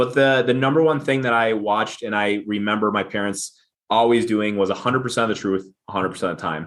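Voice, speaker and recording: A man with a fairly low pitch at a very fast pace, with ordinary pitch variation. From Minnesota. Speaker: business founder and CEO. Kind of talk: podcast interview. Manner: halting, many repeated words.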